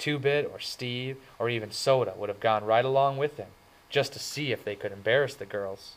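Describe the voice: Ordinary pitch variation runs through this plain read-aloud passage.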